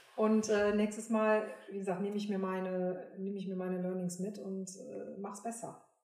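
Monotone, flat intonation from a woman at a medium pitch and fairly slow pace, with audible room echo. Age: 50s. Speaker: professional singer and entrepreneur. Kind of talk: casual interview.

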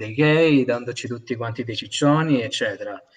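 A man's pitch varies in an ordinary way as he keeps to a moderate pace. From Sicily (Milazzo). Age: 20s. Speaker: university student. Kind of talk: casual chat. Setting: video call.

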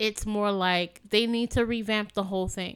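An unremarkable speaking voice with an American accent at a moderate pace, on a very clean recording with a silent background. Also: woman. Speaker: podcast host. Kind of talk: casual conversation, serious discussion.

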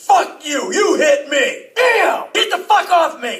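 Shouting in a put-on character voice, a man pitches his voice extremely high. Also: fairly slow pace. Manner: shouting, furious, panicked.

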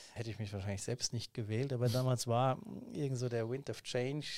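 In a very clean recording with a silent background, a man's dark, mellow voice sits at a medium pitch with monotone, flat intonation and a dry, close sound with no echo. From Hesse, Germany (Main-Kinzig area near Hanau). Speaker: state politician. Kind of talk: interview.

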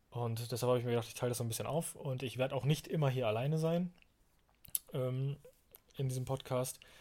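A man talks very fast at medium pitch with a dark, mellow tone and fairly even intonation. He sounds somewhat breathy and leaves long, frequent pauses. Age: 20s. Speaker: podcast host. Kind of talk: solo podcast monologue. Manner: hesitant, many fillers.

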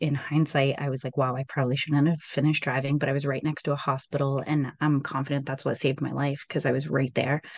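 In a very deep, low voice, a woman talks at a very fast pace. Her intonation is monotone and flat, with a quiet background. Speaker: entrepreneur. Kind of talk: interview.

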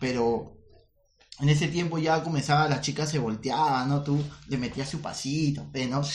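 Speaking at a fairly slow pace, a man with a fairly high pitch keeps his intonation fairly even, with audible room echo around him. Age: 30s. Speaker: comedian, podcast co-host. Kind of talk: casual chat.

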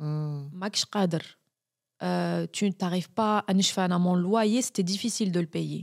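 Speaking very slowly with an Algerian accent, a woman uses a fairly low pitch with ordinary pitch variation, on a very clean recording with a silent background and a dry, close sound with no echo. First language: Algerian Arabic (speaking French). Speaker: journalist and video maker. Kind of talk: interview.

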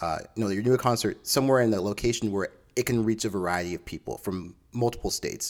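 Over a silent background in a very clean recording, a man talks at a fairly quick pace with lively intonation. His medium-pitched voice is an unremarkable speaking voice. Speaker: podcast host. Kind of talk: angry rant about a tour announcement, venting to listeners. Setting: solo podcast recording. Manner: irate, frustrated and fast-paced, with repeated restarts as he vents; conversational and chatty.

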